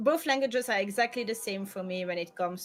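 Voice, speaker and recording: Speaking at a moderate pace, a woman with a French accent uses a medium pitch. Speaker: streamer. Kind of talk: casual chat.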